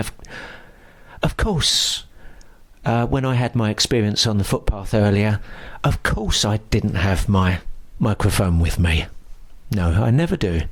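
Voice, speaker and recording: At a fairly slow pace, a man with a fairly low pitch keeps very even loudness between long, frequent pauses. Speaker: paranormal investigator. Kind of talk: vlog-style narration. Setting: outdoors in churchyard. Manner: hushed, speaking quietly.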